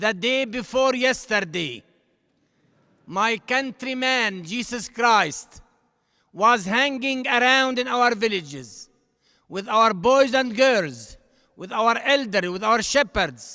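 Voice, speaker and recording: With an Arabic accent, a man speaks in an extremely high pitch and a bright, sharp tone, using a raised, projected voice, ordinary pitch variation, a very slow pace and long, frequent pauses, on a very clean recording with a silent background. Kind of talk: commencement address.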